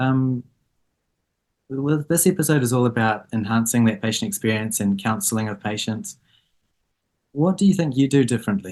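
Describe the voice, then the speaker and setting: A speaker with a New Zealand accent talks at a moderate pace. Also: man. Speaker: eye surgeon and podcast host. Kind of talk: podcast interview. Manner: casual, with fillers.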